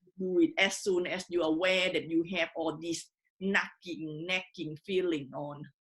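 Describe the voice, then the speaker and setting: A woman with a strong non-native accent speaks at a fairly slow pace. Her fairly low voice keeps fairly even intonation. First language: not English. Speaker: online community founder and host. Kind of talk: interview. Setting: Facebook live stream. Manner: cautious.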